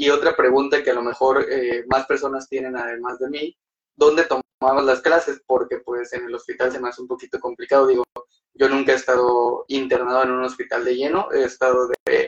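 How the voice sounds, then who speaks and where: A man speaks in a monotone, flat intonation at a medium pitch, keeping a moderate pace. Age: 20s. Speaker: podcast host. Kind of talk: casual interview. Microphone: unstable internet connection.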